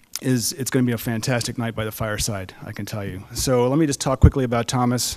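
A man's fairly even intonation against a quiet background. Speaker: event host. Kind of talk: stage introduction. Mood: warm, lightly humorous. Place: stage. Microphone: podium.

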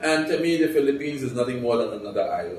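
Audible room echo surrounds a man's voice. Light background noise is also present. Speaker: retired civil engineer, former calypso singer. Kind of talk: interview answer. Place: home room.

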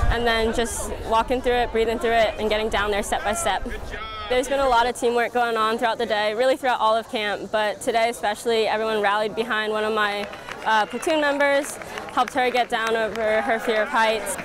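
Crowd noise fills the background as a woman talks at a fairly quick pace. Her intonation is fairly even, her loudness very even, and the sound is dry with no echo. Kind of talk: interview answer. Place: open country.

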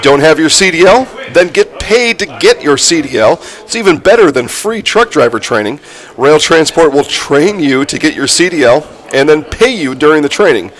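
There is noticeable background noise. The speaker moves at a moderate pace with lively intonation. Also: man, fairly high pitch for a man. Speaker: sports broadcast host and color commentator. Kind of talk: live sports broadcast, ad reads. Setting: stadium broadcast. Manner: conversational, casual, chatty.

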